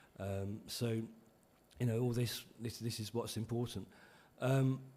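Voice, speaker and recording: Over audible room echo, a man with a dark, mellow tone speaks at a fairly slow pace and medium pitch in a monotone, flat intonation. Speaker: conference speaker on minority languages. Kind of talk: conference talk. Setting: conference hall with live interpretation. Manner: hesitant with many ums.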